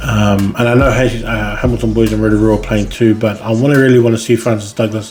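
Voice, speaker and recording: A man's fairly low, monotone voice at a moderate pace, flat in intonation, with music in the background. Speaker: podcast host and school rugby ranker. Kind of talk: solo podcast monologue. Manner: halting, with many fillers and pauses; thinking aloud.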